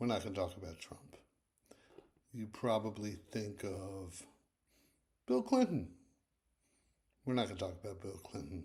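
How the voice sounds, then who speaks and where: A man with a fairly low pitch and a dark, mellow, somewhat breathy tone speaks at a moderate pace with ordinary pitch variation, big swings in loudness, long, frequent pauses and audible room echo. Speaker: history video host. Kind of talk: casual lecture. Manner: soft-spoken.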